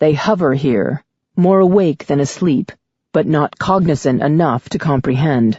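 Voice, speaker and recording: A raspy put-on character voice at a middle pitch and moderate pace. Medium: read story. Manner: toneless, emotionless, evasive.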